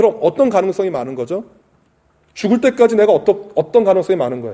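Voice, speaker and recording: Very fast speech comes from a man with a dark, mellow tone. His pitch swings very widely. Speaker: pastor. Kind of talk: sermon.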